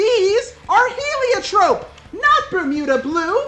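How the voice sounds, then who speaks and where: This put-on character voice is extremely high, squeaky and shrill. It moves at a very slow pace with very wide pitch swings. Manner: screeching, furious.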